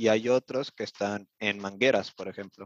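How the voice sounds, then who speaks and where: A man's normal speaking voice at a fairly low pitch and moderate pace, dry and close with no echo, over a quiet background. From Mexico City. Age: 20s. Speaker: vocational apprentice. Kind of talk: interview.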